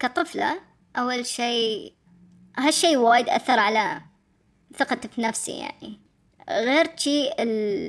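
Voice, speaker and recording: Pausing long and often at a very slow pace, a woman speaks in a high pitch with lively intonation. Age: 20s. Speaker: interviewee sharing personal story. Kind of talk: testimony. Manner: halting.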